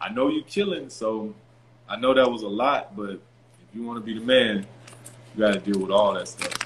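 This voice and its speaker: Over noticeable background noise, a man with a Southern US accent talks at a moderate pace and medium pitch, with ordinary pitch variation, big swings in loudness and long, frequent pauses. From rural Louisiana and Virginia, US South. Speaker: former pro basketball player. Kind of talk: casual interview.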